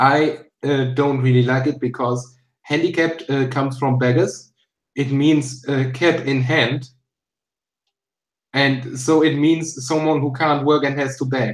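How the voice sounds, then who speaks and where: A man speaks with a German accent, his pitch fairly high and his intonation flat and monotone. He talks at a fairly slow pace, with long, frequent pauses. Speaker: YouTuber. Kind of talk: casual chat.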